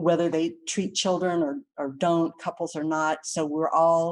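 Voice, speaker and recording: Her intonation is monotone and flat. The woman speaks with a fairly low pitch. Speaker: licensed counselor. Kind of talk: webinar presentation Q and A. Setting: online webinar.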